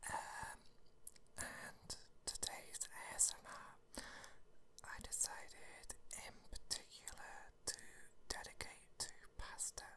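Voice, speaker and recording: Whispering, the speaker leaves long, frequent pauses. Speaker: ASMR creator. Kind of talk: soft-spoken ASMR reading chat. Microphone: phone near.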